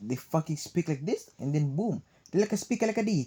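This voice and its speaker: With a Cebuano accent, a man talks at a moderate pace in a fairly high, somewhat breathy voice with a dark, mellow tone and very wide pitch swings. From Philippines, Cebuano-speaking region. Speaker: vlogger. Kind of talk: casual monologue. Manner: animated.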